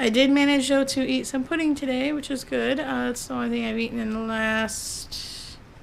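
A soft-spoken woman sounds strained as she talks at a moderate pace with hardly any pauses, over light background noise. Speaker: vlogger. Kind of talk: casual vlog chat. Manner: soft, strained post-surgery throat voice. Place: home room. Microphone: phone near.

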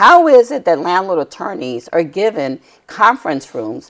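Against a quiet background, a woman talks in a fairly low pitch with very wide pitch swings. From New York City, Lower Manhattan; New York. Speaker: tenant rights activist; guest. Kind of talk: TV interview. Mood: earnest, indignant storytelling. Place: studio. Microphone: lapel.

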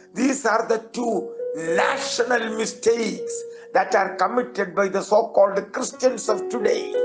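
Clear music plays in the background. A man speaks at a fairly slow pace. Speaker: pastor, preacher. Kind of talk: sermon, preaching. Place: church. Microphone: podium.

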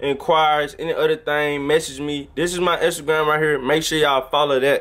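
Here a man talks at a moderate pace, his pitch fairly high. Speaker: YouTube channel host. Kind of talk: casual chat. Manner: animated. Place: home room. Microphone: phone near.

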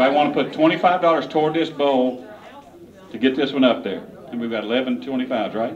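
Talking at a very fast pace, a man shows ordinary pitch variation over light background noise. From Kentucky. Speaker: auctioneer. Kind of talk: casual fundraising appeal to a crowd. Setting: live charity auction event. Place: hall. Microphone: handheld.

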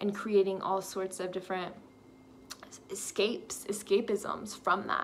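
A woman's fairly slow speech comes through light background noise. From Texas. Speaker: lifestyle vlogger; vlogger. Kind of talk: personal vlog monologue. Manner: casual, filler-heavy. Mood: warm, reflective, encouraging. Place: home room. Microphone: phone near.

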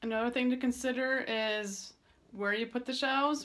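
A woman at a moderate pace with fairly even intonation. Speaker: cat blogger. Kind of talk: casual tutorial vlog. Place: home room. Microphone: phone near.

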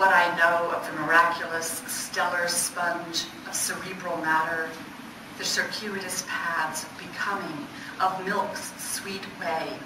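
A woman at a very slow pace and fairly low pitch, amid audible room echo and noticeable background noise. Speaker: poet. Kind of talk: poetry reading of her own dense, image-laden lyric sequences. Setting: stage with audience. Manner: measured, incantatory delivery lingering on repeated words; chatty and self-deprecating between poems, with filler words. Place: hall. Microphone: camera far.

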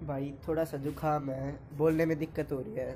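This man's voice has a dark, mellow tone and sounds somewhat breathy. His monotone, flat delivery runs at a moderate pace over light background noise. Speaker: vlogger showing his tractor. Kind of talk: casual vlog chat. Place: farm machine. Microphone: phone near.

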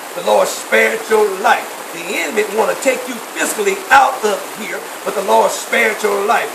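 A man at a moderate pace, animated in tone with ordinary pitch variation, over noticeable background noise. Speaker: preacher. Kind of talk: charismatic sermon with prayer and laying on of hands, call-and-response. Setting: church with congregation. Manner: loud, fervent, animated, shouting praise; rhythmic, exhorting the congregation. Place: tent. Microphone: phone near.

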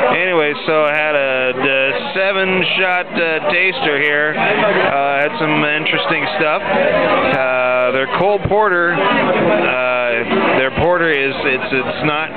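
The speech moves at a very slow pace. Music plays in the background. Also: man, ordinary pitch variation, dry sound with no echo. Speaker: beer taster vlogger. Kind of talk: casual vlog chat. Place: bar. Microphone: phone near.

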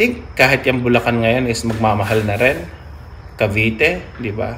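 A man's moderately paced speech, with ordinary pitch variation, comes over light background noise. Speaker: vlogger. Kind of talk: casual vlog chat. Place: garage. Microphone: camera far.

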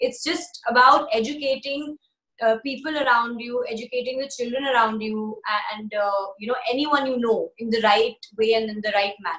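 A woman's high-pitched voice with an American accent, moderate pace and ordinary pitch variation against a quiet background. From Bombay, India and the US. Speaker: actress and singer; actress-singer interviewee. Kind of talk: interview. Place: home room. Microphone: phone near.

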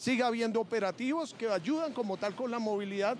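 A man at a moderate pace with an extremely high pitch

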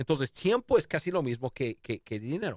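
Against a quiet background, a man talks at a moderate pace with very wide pitch swings, the sound dry with no echo. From United States. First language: English (speaking Spanish). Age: 50s. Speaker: leadership expert; interview guest, leadership coach. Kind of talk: interview. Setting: studio. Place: studio. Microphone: studio mic.

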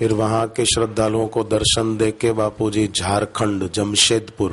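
A man's fairly low voice at a very slow pace, in a monotone, flat intonation. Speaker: religious preacher. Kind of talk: sermon. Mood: calm, devotional narration. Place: stage. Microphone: podium.

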